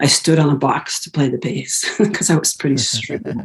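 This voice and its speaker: Vocal fry runs through a woman's very deep, low voice. Her intonation is lively. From US West Coast, San Francisco Bay Area. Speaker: musician and composer. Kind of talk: interview conversation.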